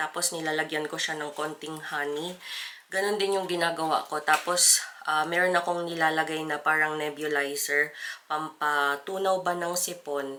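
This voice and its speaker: Her intonation stays monotone and flat. This woman's voice is very deep and low. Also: moderate pace. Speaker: vlogger. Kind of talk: casual vlog talk.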